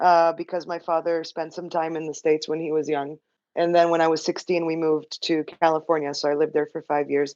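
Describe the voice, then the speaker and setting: A woman's very deep, low voice, fairly quick and monotone with flat intonation, dry and close with no echo, over a quiet background. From Israel. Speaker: technical writer. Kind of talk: casual chat.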